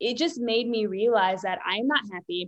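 In an American accent, a woman talks at a moderate pace and fairly high pitch with ordinary pitch variation, an ordinary speaking voice. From US, Richmond, Virginia. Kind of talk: interview.

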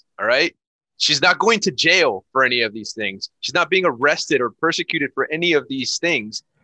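A man's bright, sharp voice with fairly high pitch, very wide pitch swings, vocal fry and a fairly quick pace, dry and close with no echo. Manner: profane, animated.

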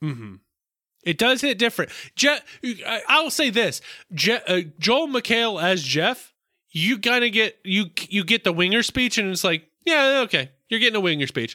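A man with an American accent speaks in a raised, projected voice at a high pitch, with a bright, sharp tone. His intonation is lively and his pace is moderate. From US South. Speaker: podcast co-host. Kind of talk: casual chat.

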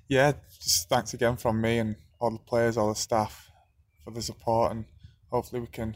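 The speaker uses an unremarkable speaking voice with fairly even intonation at a fairly quick pace. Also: man. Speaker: footballer. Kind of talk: interview answers.

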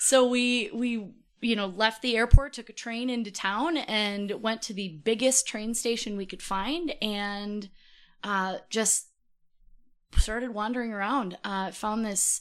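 A woman with an Upper Midwest accent speaks at a fairly slow pace against a quiet background. Her pitch is fairly high, with ordinary pitch variation. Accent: Upper Midwest American. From Minnesota. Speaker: podcast guest. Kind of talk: casual chat.

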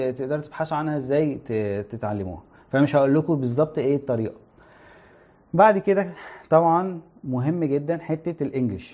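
With an Egyptian accent, a man speaks in a dark, mellow tone at a fairly high pitch, his pitch varying in an ordinary way. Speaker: internet company product manager, guest speaker. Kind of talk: livestream talk to students. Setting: live stream.

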